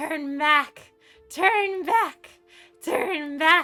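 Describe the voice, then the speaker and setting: A shrill, extremely high-pitched put-on character voice plays over faint background music. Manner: urgent, shrieking warning.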